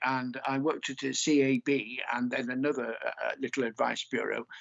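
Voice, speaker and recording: Fairly even in intonation, a man with a British accent talks at a moderate pace in a medium-pitched voice. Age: 60s. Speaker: poet. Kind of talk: poetry reading with commentary.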